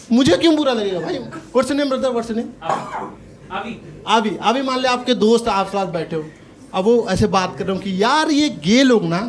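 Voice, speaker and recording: A man with an extremely high pitch talks at a moderate pace with long, frequent pauses. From Gorakhpur, Uttar Pradesh, India. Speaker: stand-up comedian. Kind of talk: live stand-up comedy set.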